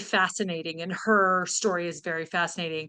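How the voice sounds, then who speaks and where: Loud and bright, a woman's voice comes through with a sharp tone. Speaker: guest speaker; teacher. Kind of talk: talk over video call. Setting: video call.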